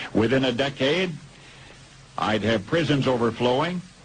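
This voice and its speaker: A man with an American accent talks at a moderate speed while noticeable background noise plays behind him. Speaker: radio broadcaster. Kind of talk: radio commentary.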